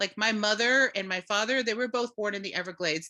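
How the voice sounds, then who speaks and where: A woman with an American accent speaks in a bright, sharp tone with ordinary pitch variation, recorded very cleanly against a silent background. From Florida, Seminole reservation. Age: 50s. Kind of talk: panel discussion. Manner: halting, many fillers.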